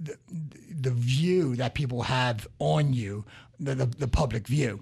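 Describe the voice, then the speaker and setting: Speaking at a very slow pace, a man with lively intonation sounds somewhat breathy on a very clean recording with a silent background. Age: 50s. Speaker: radio host, business coach. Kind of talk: radio talk show. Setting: radio studio.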